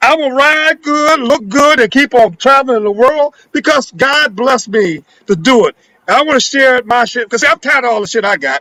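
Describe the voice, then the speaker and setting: Speaking in a raised, projected voice, a man sounds animated at an extremely high pitch with a bright, sharp tone. His pace is moderate with ordinary pitch variation, and the sound is dry and close with no echo. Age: 70s. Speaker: elder businessman guest. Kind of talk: casual chat.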